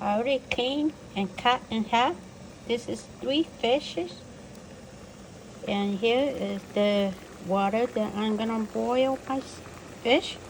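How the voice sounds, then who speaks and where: Speaking very slowly at a fairly high pitch, a woman uses ordinary pitch variation over noticeable background noise. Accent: non-native. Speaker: home cook. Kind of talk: cooking tutorial.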